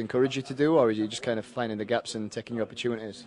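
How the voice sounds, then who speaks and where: A man rattles along at a very fast pace while noticeable background noise plays behind him. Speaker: sports broadcaster. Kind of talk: post-match interview questions.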